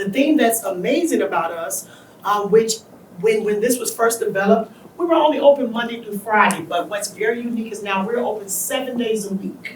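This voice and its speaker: The speaker goes at a moderate pace. Noticeable background noise runs underneath. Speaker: behavioral health center staff presenter. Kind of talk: presentation to community audience. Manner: loud, projecting voice.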